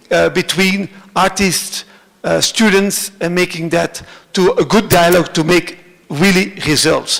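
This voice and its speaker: Amid noticeable background noise, a man with a Flemish Belgian accent speaks at a high pitch and a fairly slow pace, his intonation fairly even and his loudness very even. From Belgium (Flanders). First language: Dutch (Flemish). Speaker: cultural centre director. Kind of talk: conference presentation. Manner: halting, many fillers.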